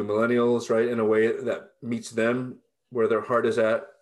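A man with a Californian accent speaks at a medium pitch. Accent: Californian American English. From Southern California, Los Angeles area. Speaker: pastor and professor. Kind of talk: interview conversation.

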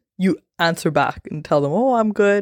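Animated and lively in intonation, a woman speaks at medium pitch and a moderate pace. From Canada. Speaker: podcast host. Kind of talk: casual solo podcast chat. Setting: recorded on a phone. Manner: animated, laughing often.

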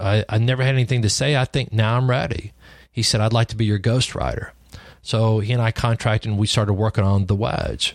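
Speaking at a fairly quick pace with a West Texas accent, a man uses a medium pitch on a very clean recording with a silent background. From West Texas (Lubbock area). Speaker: podcast host, insurance agency consultant. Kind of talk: solo podcast monologue, storytelling. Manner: casual, with many fillers and repetitions.

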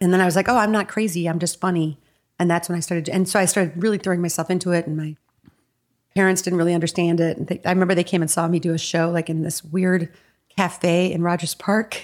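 Against a silent background on a very clean recording, a woman with a Chicago-area accent talks at a very fast pace, fairly low in pitch, with monotone, flat intonation. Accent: Chicago-area Midwestern American. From Evanston, Illinois, US Midwest. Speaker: comedy writer and actress. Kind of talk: casual chat.

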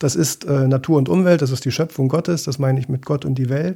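A man's fairly high-pitched voice, dark and mellow in tone, with fairly even intonation. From East Germany. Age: 60s. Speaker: journalist and ship chaplain. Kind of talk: interview. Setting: studio.

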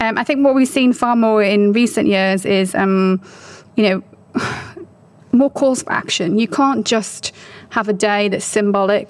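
With a British accent, a woman speaks at a moderate pace and medium pitch, her intonation fairly even, over noticeable background noise. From UK. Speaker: marketing consultant and business founder. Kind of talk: interview.

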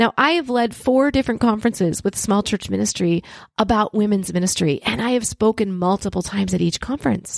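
With a normal speaking voice, a woman talks at a fairly high pitch with lively intonation in a dry, close sound with no echo. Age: 50s. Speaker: podcast host and ministry leader. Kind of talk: solo podcast teaching monologue.

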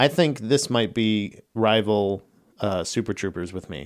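A normal speaking voice with ordinary pitch variation comes through in a very clean recording with a silent background. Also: man. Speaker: podcast producer. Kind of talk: casual chat.

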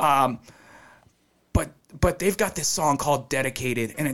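A man with an ordinary speaking voice, fairly high in pitch, at a moderate pace with ordinary pitch variation. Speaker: Air Force veteran. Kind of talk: casual chat.

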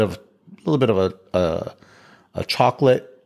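A man with a plain, everyday voice at a fairly quick pace. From Chicago. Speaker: real estate investor and podcast host. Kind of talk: casual chat.

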